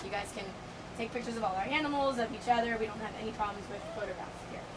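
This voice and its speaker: A woman talking very fast with ordinary pitch variation over noticeable background noise. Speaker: dolphin trainer. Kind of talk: safety briefing to visitors. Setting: outdoors.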